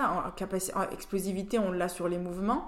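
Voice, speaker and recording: A woman talks at a moderate pace and a medium pitch. Noticeable background noise runs behind her. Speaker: rugby player and team captain. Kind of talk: casual interview.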